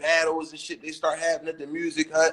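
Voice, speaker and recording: Loud and bright, with a sharp tone, a man speaks at a high pitch and a fairly quick pace. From Philadelphia, West Philly. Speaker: rapper. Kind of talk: interview. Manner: stuttering repetitions.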